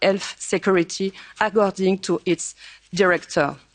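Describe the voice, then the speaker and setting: A woman speaks with a French accent at a medium pitch. The sound is dry and close, with no echo. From France. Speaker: politician. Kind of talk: conference speech. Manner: formal.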